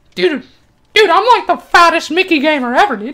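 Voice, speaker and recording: Putting on a character voice, a woman talks at a moderate pace in an extremely high pitch. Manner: goofy, exaggerated.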